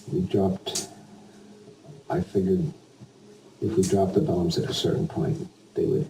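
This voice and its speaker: With an American accent, a man talks at a moderate pace against noticeable background noise. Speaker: war veteran; retired air force pilot. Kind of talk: interview answer. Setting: home recording, low quality.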